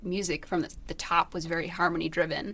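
A woman speaks at a fairly quick pace in a fairly low pitch with fairly even intonation. It is a plain, everyday voice. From Michigan, US Midwest. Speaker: indie band musician and songwriter. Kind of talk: casual interview chat.

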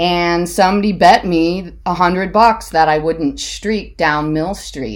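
A woman with an American accent speaks at a fairly low pitch with vocal fry. Her pitch variation is ordinary. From Ohio, US (Hudson). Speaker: college alumna guest. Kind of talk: casual chat.

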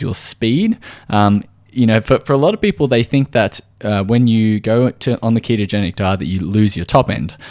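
At a moderate pace and medium pitch, a man with an Australian accent speaks with ordinary pitch variation, in a dry, close sound with no echo on a very clean recording with a silent background. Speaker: podcast host and nutritional therapist. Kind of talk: solo educational talk. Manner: casual with frequent fillers.

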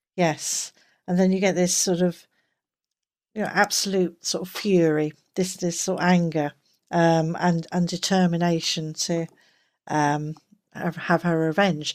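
With an English accent, a woman speaks at a fairly slow pace in a fairly low pitch, her intonation flat and monotone, leaving long, frequent pauses. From England. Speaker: game forum moderator. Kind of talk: casual chat. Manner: halting.

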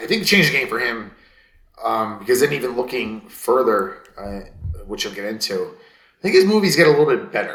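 A man speaks fairly quickly at a medium pitch. His pitch swings very widely, and the room echo is audible. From US East Coast. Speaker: podcast co-host. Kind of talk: casual chat.

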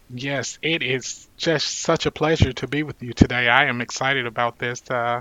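With an American accent, a man talks at a moderate pace and medium pitch, his intonation fairly even. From US South, Mississippi. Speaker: public health fellow and doctoral student. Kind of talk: interview. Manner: hesitant, many fillers.

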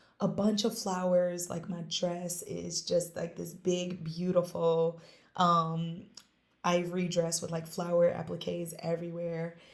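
This woman's voice sits at a fairly low pitch. She speaks at a fairly slow pace. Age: 30s. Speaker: small business owner and karate teacher. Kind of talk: casual chat. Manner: animated.

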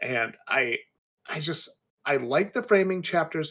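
The voice carries vocal fry. The recording is very clean, the background silent. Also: man. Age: 30s. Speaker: indie author. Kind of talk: casual chat.

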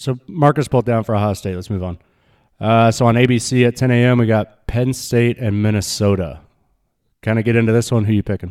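A man with an American accent, an ordinary speaking voice, medium pitch, fairly even intonation and a fairly quick pace, on a very clean recording with a silent background. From Nebraska, high school in Arizona. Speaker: college football podcast co-host. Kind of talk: casual chat.

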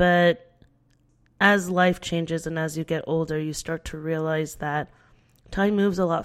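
A woman's fairly low, monotone, flat voice with an American accent at a fairly slow pace. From United States. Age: 30s. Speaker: podcast host. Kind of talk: personal monologue.

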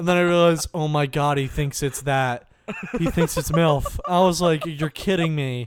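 A man's fairly high-pitched, normal speaking voice with an American accent, ordinary pitch variation and a moderate pace. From New Jersey. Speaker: podcast co-host. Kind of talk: casual chat.

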